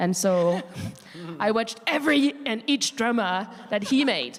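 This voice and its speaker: In a French accent, a woman speaks at a moderate pace with lively intonation and an animated tone. Noticeable background noise runs under her voice. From France. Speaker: panelist, language teacher. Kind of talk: panel discussion.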